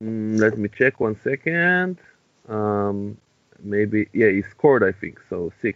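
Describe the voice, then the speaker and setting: This man has an Israeli accent and a fairly low pitch. He speaks very slowly with lively intonation. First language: Hebrew. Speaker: podcast co-host. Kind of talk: casual chat.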